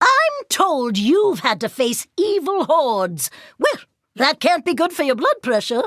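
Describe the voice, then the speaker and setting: In a cartoonish character voice, a woman talks fairly slowly at a high pitch on a very clean recording with a silent background. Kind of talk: video game voice lines. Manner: prim, fussy, curious.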